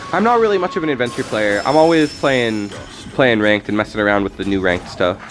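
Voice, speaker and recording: Music plays in the background while a man talks at a very fast pace. His pitch is medium and his intonation lively. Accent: American. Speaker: gaming streamer. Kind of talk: live gameplay stream chat. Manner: casual, halting with self-corrections.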